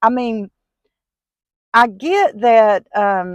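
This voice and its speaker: A woman talks with a strong Southern US accent over a quiet background. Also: dry, close sound with no echo. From US South. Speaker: vlogger. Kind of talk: casual vlog monologue. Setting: in a car.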